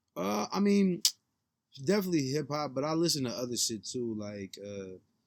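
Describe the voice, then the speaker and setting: Speaking in an American accent, a man uses a medium pitch and very wide pitch swings at a moderate pace. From San Francisco, Bay Area. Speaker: rapper. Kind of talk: casual chat.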